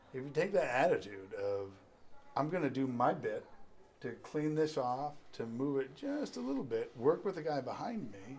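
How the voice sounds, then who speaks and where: Fairly high in pitch, a man talks with an East Coast US accent. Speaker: freemason leader. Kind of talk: casual chat.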